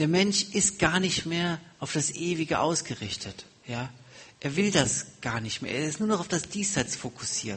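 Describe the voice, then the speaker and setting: A man with a fairly high pitch and vocal fry talks at a fairly slow pace. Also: lively intonation. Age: 40s. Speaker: guest preacher. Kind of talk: sermon.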